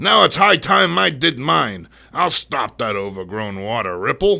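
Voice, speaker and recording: A man does a put-on character voice, growling, gruff and gravelly at a fairly low pitch. He moves at a moderate pace with very wide pitch swings. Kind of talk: comic impression. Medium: read story.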